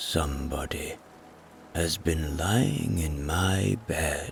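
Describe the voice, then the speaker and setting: In a put-on character voice, a man sounds gruff and raspy with a very deep, low pitch, speaking at a very slow pace over clear background noise. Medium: read story.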